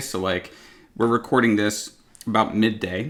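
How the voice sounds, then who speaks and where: A man with a Northern California accent at a fairly slow pace, fairly even in intonation, on a very clean recording with a silent background. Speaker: podcast host and YouTuber. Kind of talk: casual chat. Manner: lackadaisical, sounds like he doesn't care.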